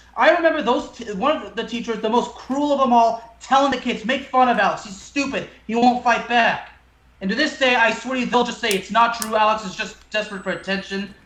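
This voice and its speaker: A man talks at a fairly quick pace, his pitch extremely high with ordinary variation. Audible room echo and noticeable background noise fill the recording. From France. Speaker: podcast host. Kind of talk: casual chat.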